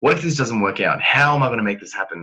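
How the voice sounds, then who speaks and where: A man's bright, sharp, animated voice at a very fast pace. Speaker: motivational trainer. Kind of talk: online training presentation.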